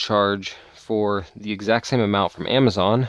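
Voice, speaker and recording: With a pitch on the fairly low side, this man's intonation stays fairly level. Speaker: vlogger. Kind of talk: casual vlog talk to camera. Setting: outdoors in the woods.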